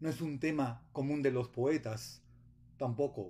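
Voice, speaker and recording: A man with a Mexican accent speaks at a very slow pace in a solemn tone. His voice is somewhat breathy with a dark, mellow tone and fairly even intonation. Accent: Mexican Spanish (Jalisco). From Guadalajara, Mexico. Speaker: poet. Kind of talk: poetry reading with a spoken greeting and message of solidarity. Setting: video message recorded remotely. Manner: solemn, measured, reflective. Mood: calm, solemn. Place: home room. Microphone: webcam.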